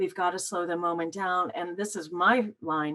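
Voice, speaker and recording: With an ordinary speaking voice, a woman talks at a medium pitch and a moderate pace. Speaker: couples therapy trainer. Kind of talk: teaching demonstration.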